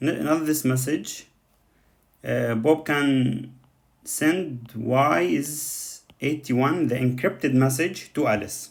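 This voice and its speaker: Speaking with a non-native accent, a man goes at a very slow pace, with medium pitch and ordinary pitch variation. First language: not English. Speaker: coding tutor. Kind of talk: tutorial. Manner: halting, many fillers.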